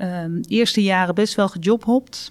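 A woman speaks fairly slowly at a medium pitch with ordinary pitch variation in an ordinary speaking voice, on a very clean recording with a silent background. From Netherlands, North Brabant near Breda. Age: 50s. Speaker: property development executive. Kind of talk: interview.

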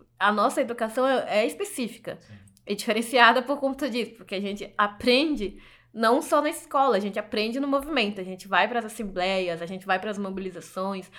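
A woman's normal speaking voice at a fairly quick pace. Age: 20s. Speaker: journalist. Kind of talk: interview testimony.

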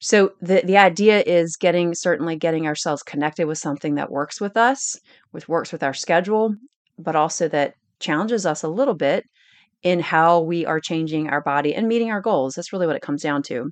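A woman with a normal speaking voice talks at a fairly quick pace, her fairly low pitch showing ordinary variation against a quiet background. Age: 40s. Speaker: fitness coach podcast host. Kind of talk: casual instructional monologue. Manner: conversational, frequent self-corrections and repetitions.

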